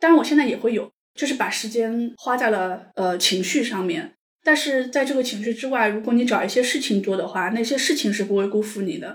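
Her voice is a plain, everyday voice with a fairly high pitch. The woman speaks at a fairly quick pace with ordinary pitch variation. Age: 40s. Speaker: divorced mother sharing her story. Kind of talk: personal story interview. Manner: calm.

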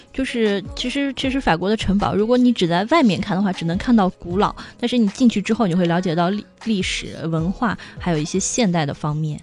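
A woman with a medium pitch talks at a fairly quick pace with lively intonation. Noticeable noise sits in the background. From China. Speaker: online retail buyer living in France. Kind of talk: casual interview.

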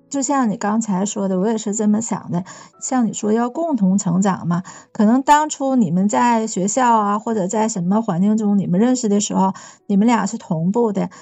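A woman with a slight Northeast Chinese accent speaks in a somewhat breathy, fairly high voice with ordinary pitch variation. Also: moderate pace. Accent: slight Northeastern Mandarin. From Northeast China. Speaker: podcast guest. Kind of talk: casual chat.

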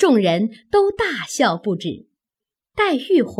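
The background is quiet. Someone is doing plain reading aloud.

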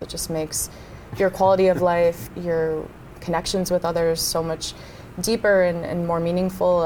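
Amid noticeable background noise, a woman with a fairly low pitch talks at a moderate pace in a monotone, flat intonation. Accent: American. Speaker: business school student. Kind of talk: casual chat.

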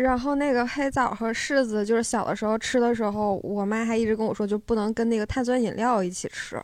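In a plain, everyday voice, a woman speaks at a fairly quick pace and fairly high pitch, with fairly even intonation and hardly any pauses. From Northeast China, Harbin area. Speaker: live audience member. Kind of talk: casual chat.

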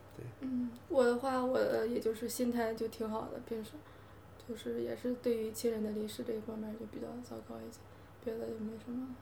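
Amid noticeable background noise and audible room echo, a woman speaks at a fairly quick pace with big swings in loudness. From Hebei. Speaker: podcast guest. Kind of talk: casual chat.

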